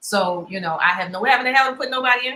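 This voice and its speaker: A woman's bright, sharp voice with lively intonation. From Baltimore, Maryland, US. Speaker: online debate show host. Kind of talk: live debate chat.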